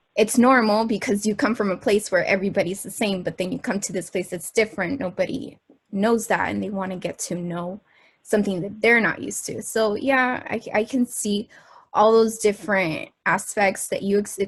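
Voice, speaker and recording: A somewhat breathy woman's voice at medium pitch, moderate pace and ordinary pitch variation. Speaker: student interviewer. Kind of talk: interview.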